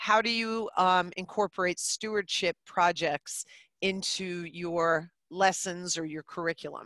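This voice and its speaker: A woman with an American accent speaks at a fairly slow pace in a bright, sharp tone with ordinary pitch variation, the sound dry with no echo against a quiet background. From New Jersey. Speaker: middle school teacher. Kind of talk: webinar presentation. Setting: video call. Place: classroom. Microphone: headset.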